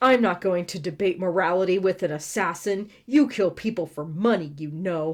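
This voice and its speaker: A growling put-on character voice at a moderate pace, with hardly any pauses and ordinary pitch variation. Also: woman, medium pitch for a woman. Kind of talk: read-aloud story with character voices. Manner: snarling.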